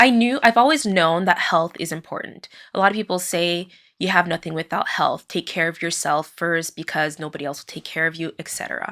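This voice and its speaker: At a fairly quick pace, a woman with a fairly low pitch and a bright, sharp tone speaks with big swings in loudness, on a very clean recording with a silent background. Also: ordinary pitch variation. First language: French. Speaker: podcast host, occupational therapist. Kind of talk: personal monologue. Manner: hesitant, many fillers.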